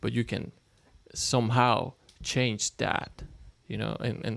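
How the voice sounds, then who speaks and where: A man with a Mexican accent at a moderate pace. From Mexico (Toluca). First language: Spanish. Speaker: podcast guest. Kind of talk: casual chat. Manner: halting, repeats words.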